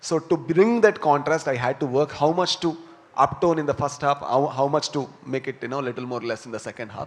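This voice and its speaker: In a South Indian accent, a man talks fairly quickly at a fairly high pitch with ordinary pitch variation. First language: Tulu. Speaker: film actor and filmmaker. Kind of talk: press conference Q&A. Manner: hesitant, many fillers.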